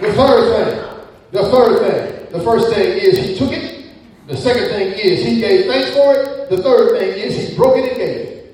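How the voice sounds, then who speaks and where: Over noticeable background noise, an animated voice moves at a moderate pace with very wide pitch swings and big swings in loudness. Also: man, extremely high pitch for a man. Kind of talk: sermon. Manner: animated, call-and-response preaching, urging the congregation to shout amen; fervent, rhythmic, repeating phrases for emphasis.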